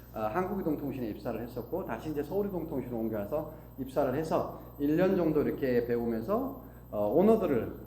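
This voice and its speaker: Over noticeable background noise and audible room echo, a man talks at a fairly quick pace with lively intonation. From Korea, Gangwon (Taebaek), moved to Seoul at 12. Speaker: business owner giving a talk. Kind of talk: motivational talk.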